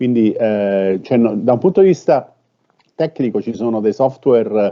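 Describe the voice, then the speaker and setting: This man's voice sits at a medium pitch, moving at a moderate pace with ordinary pitch variation. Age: 60s. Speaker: robotics professor. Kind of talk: panel talk answering a question. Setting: online live-streamed event. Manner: halting, many fillers.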